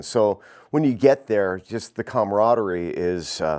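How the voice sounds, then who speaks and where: This man has a normal speaking voice, pitched fairly low. He talks at a fairly slow pace with ordinary pitch variation. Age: 60s. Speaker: archer. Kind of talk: interview.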